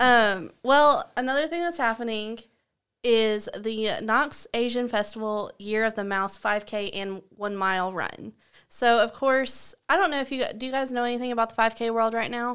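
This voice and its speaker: Over a silent background in a very clean recording, a woman with a Southern US accent talks at a moderate pace in a fairly high pitch with ordinary pitch variation. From US South. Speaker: podcast co-host, former art teacher. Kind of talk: casual chat.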